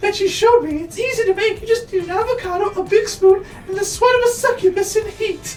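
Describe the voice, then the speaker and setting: A squeaky, put-on character voice at an extremely high pitch races along very fast with hardly any pauses over clear background noise. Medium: game stream. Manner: relaxed, friendly.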